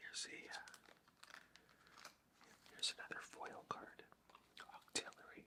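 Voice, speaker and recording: A man whispers at a fairly slow pace. His pauses are long and frequent. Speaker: ASMR creator. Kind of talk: ASMR show and tell. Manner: whispered.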